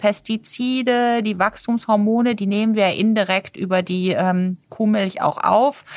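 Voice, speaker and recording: In a very clean recording with a silent background and a dry, close sound with no echo, a woman with an unremarkable speaking voice and a fairly high pitch speaks at a fairly slow pace with fairly even intonation. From Germany, partly raised on a farm. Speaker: nutrition and sports physician. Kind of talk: interview.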